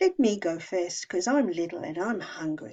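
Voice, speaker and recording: In a put-on character voice, a woman talks at a moderate pace with a medium pitch. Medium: read story.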